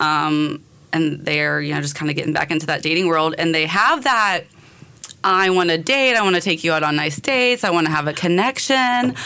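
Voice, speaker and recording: In an American accent, a woman talks at a fairly quick pace with lively intonation. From North Carolina. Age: 30s. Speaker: dating show guest. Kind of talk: casual chat. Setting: radio studio.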